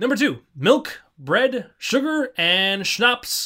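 On a very clean recording with a silent background, a man speaks in a raised, projected voice. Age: 20s. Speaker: podcast host. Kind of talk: casual chat.

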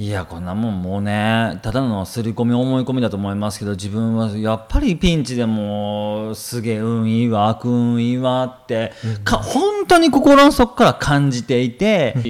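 Over noticeable background noise, a man talks at a moderate pace in a medium pitch with ordinary pitch variation and hardly any pauses. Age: 30s. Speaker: business coach. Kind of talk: casual chat.

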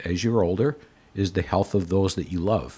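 With an ordinary speaking voice, a man talks at a moderate pace, his pitch fairly low and its variation ordinary. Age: 60s. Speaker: retired mental health executive turned gallery owner. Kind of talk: casual interview conversation.

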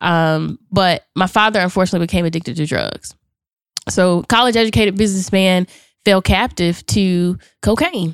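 In an ordinary speaking voice, a woman talks at a moderate pace and medium pitch with ordinary pitch variation, the sound dry and close with no echo. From Charlotte, North Carolina. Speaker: motivational speaker and author. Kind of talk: casual interview chat. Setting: studio.

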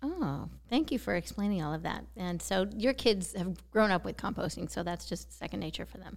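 A woman talks at a moderate pace with hardly any pauses. Her loudness swings widely. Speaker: podcast host. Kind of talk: interviewing, intro reading.

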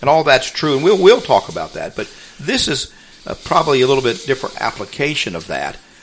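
A man rattles along at a very fast pace with noticeable noise in the background. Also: big swings in loudness. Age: 70s. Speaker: radio host. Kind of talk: radio talk show. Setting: radio studio, prerecorded.

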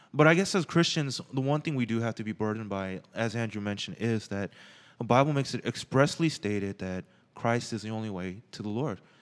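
Over a silent background in a very clean recording, a man with an unremarkable speaking voice and medium pitch talks at a fairly quick pace with lively intonation. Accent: General American. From Los Angeles, US. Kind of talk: casual chat. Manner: casual, joking.

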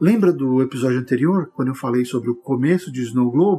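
Talking at a fairly quick pace, a man uses a dark, mellow tone at a fairly high pitch with ordinary pitch variation. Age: 40s. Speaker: writer and podcast host. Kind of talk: solo podcast monologue. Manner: animated.

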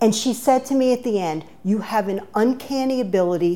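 A woman with a New York accent speaks at a moderate pace, her fairly high voice carrying lively intonation. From New York (Bronx) until ten, then Maryland. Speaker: nonprofit consultant. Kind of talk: interview. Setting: studio.

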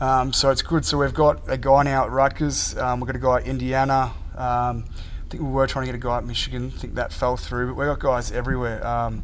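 With an Australian accent, a man talks at a fairly quick pace amid noticeable background noise and audible room echo. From Melbourne, Australia. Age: 20s. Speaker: college football punter. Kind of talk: interview. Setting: football facility.

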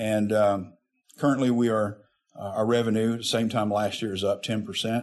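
Speaking in a Southern US accent, a man keeps a monotone, flat intonation. His pitch is medium and his pace moderate. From Arkansas. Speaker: state insurance regulator. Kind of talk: interview. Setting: on location. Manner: hesitant, many fillers.

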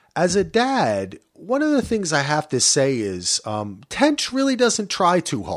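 An American accent at a fairly slow pace with hardly any pauses and very wide pitch swings, on a very clean recording with a silent background. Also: man, high pitch for a man. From New Jersey. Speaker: podcast host. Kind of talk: casual chat.

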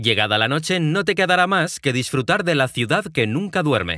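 Vocal fry and a bright, sharp tone come through at a moderate pace, with very wide pitch swings. The recording is very clean, with a silent background. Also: man. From Mexico, Guadalajara. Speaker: travel storyteller. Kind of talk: scripted narration.

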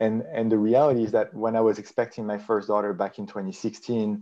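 A man speaks at a fairly quick pace with a French accent. His voice is fairly low in pitch, with a dark, mellow tone. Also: fairly even intonation.

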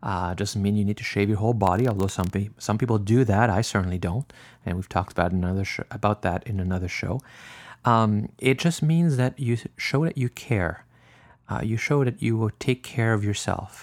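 In a French Canadian accent, a man with a fairly low voice talks at a fairly quick pace with ordinary pitch variation, recorded very cleanly against a silent background with a dry, close sound and no echo. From French Canada. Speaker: podcast host and naturist park owner. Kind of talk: casual monologue. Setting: home, drinking wine.

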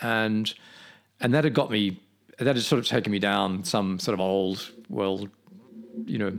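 With an Australian accent, a man talks at a moderate pace in a fairly low pitch, on a very clean recording with a silent background. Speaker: painter. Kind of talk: interview. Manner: halting.

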